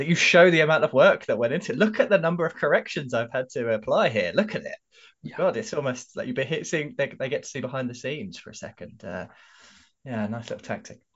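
A man talks at a very fast pace with a fairly high pitch. His voice shows very wide pitch swings and big swings in loudness. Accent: London. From London, England. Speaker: podcast co-host. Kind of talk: casual chat.

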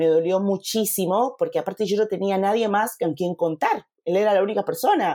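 Her voice has a dark, mellow tone, and this woman's pitch is medium. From Panama. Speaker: photographer and mentor. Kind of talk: interview conversation.

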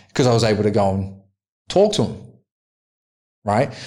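Here a man speaks with an Australian accent. His tone is dark and mellow, at a fairly low pitch. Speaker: podcast host. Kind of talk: casual chat.

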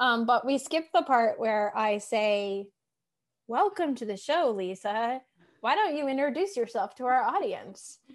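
With an American accent, a woman speaks in a high pitch at a fairly slow pace, her pitch swinging very widely against a quiet background. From Massachusetts. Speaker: podcast host and life coach. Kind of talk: casual interview chat. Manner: animated.

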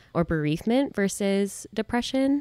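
There is a silent background on this very clean recording of a woman talking. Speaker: therapist. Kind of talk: casual advice chat.

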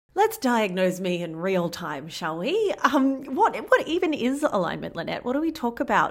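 A woman with an Australian accent and a high pitch speaks at a moderate pace with very wide pitch swings and hardly any pauses in a very clean recording with a silent background. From rural Australia. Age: 40s. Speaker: podcast host. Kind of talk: casual chat; scripted outro.

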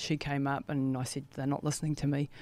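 Speaking at a very fast pace, a woman uses a very deep, low pitch and monotone, flat intonation in a New Zealand accent. The recording is very clean with a silent background. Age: 50s. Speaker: ultramarathon runner. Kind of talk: interview. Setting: studio.

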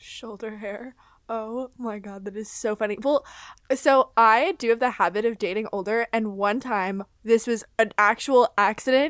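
With an American accent, a woman in a normal speaking voice talks at a fairly slow pace with fairly high pitch, fairly even intonation and big swings in loudness, recorded very cleanly with a silent background and a dry, close sound with no echo. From Florida. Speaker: podcast host. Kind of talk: casual chat.

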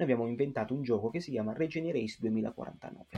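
A man speaks at a moderate pace in a medium-pitched voice. The tone is dark and mellow, and the background is quiet. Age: 20s. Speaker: youth association president. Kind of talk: interview. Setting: remote call. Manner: halting.

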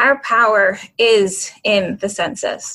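A woman with an American accent and a fairly high pitch. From Canada and Fort Lauderdale, Florida. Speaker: nonprofit project manager. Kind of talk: interview.

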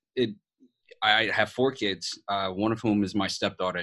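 The speaker has a New York accent and fairly even intonation. The pace is fairly quick, over a quiet background. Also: man. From New York City. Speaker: podcast host, veteran, motivational speaker. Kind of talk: casual chat.

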